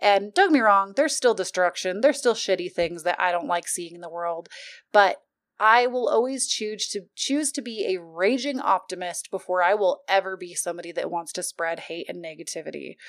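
Recorded very cleanly against a silent background, a woman speaks at a medium pitch with lively intonation. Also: fairly quick pace. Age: 20s. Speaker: podcast host. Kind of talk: casual monologue. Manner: animated.

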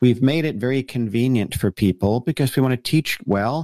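Recorded very cleanly with a silent background and a dry, close sound with no echo, a man with a plain, everyday voice and an American accent speaks at a medium pitch and moderate pace. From US Northeast, New Jersey. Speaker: pastor and author. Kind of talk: interview.

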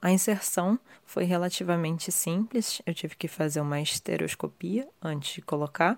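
This woman has an ordinary speaking voice, fairly low in pitch, with ordinary pitch variation and a moderate pace. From Rio de Janeiro, Brazil. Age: 30s. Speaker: listener sharing experience. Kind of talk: testimony.

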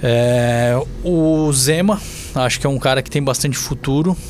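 Noticeable background noise runs through the clip. The man talks at a medium pitch. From Santa Catarina, Brazil (Balneário Camboriú). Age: 30s. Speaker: city councillor. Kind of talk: podcast interview.

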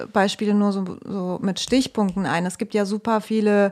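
Fairly even in intonation, a woman with a medium pitch speaks at a fairly slow pace. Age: 20s. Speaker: artist, actress, podcast co-host. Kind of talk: casual comedic chat and improvised pitches.

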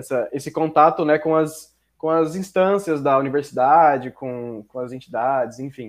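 A man over a quiet background. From Mato Grosso, Brazil. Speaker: business student. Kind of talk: casual chat.

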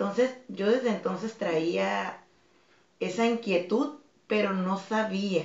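A woman talks in a medium-pitched voice. Noticeable background noise is present. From Tijuana, Mexico. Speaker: fitness instructor and dance academy director. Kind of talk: interview.

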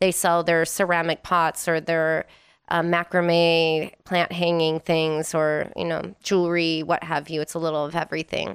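In a plain, everyday voice, a woman with an American accent and a fairly low pitch speaks at a moderate pace on a very clean recording with a silent background. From Wisconsin, US Midwest. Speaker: DJ and vintage clothing reseller. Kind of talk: casual chat.

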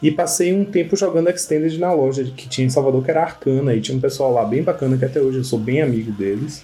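Somewhat breathy male voice at a medium pitch, fairly quick, with ordinary pitch variation. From Bahia, Brazil. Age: 30s. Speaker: Magic card game player. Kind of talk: casual chat.

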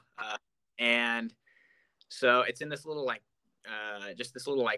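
His tone bright and sharp, a man talks at medium pitch with fairly even intonation in a dry, close sound that has no echo. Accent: American. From Oregon coast, US Pacific Northwest. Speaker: student youth organization state officer. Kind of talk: casual interview chat.

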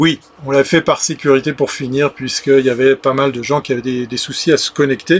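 This man's voice sits fairly high in pitch. He talks at a fairly quick pace with a monotone, flat intonation. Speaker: livestream show host. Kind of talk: casual live chat with viewers. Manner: chatty, frequent hesitations.

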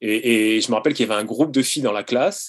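A normal speaking voice, fairly quick in pace, its pitch varying in an ordinary way. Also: man, quiet background. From France, Sarthe (near Le Mans). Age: 40s. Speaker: childhood friend of the subject. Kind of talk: casual interview. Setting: video call.

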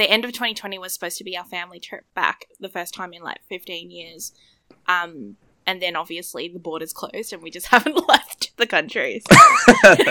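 A woman with an Australian accent, a bright, sharp tone at medium pitch, ordinary pitch variation, a moderate pace, big swings in loudness and a dry, close sound with no echo. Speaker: podcast co-host. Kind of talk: casual chat. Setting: video call.

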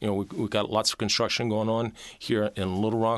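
A man with an American accent speaks very fast in a fairly low, bright, sharp voice, his intonation fairly even against a quiet background. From US South, Mobile, Alabama. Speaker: university chancellor and physician. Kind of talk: interview.

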